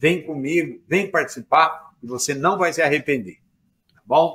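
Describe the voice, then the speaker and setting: A man is speaking. His pitch is fairly high. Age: 60s. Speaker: pasture management professor. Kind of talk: podcast sales pitch.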